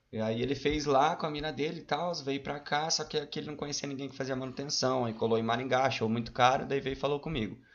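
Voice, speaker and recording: Hardly pausing, a man talks very fast in a fairly high voice with fairly even intonation. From Paraná, Brazil (Mandaguaçu area). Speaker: cook and rapper. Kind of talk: casual chat.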